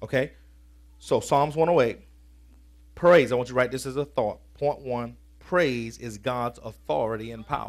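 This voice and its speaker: There is vocal fry in this man's energetic voice as he talks at a fairly slow pace with ordinary pitch variation and long, frequent pauses. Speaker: preacher. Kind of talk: sermon. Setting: church. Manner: colloquial and energetic, shifting from scripture reading to punchy vernacular. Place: church. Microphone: headset.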